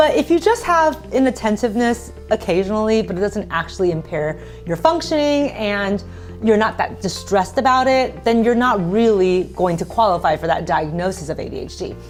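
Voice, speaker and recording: Music plays in the background while a woman talks at a fairly quick pace. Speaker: psychologist. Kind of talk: interview answer.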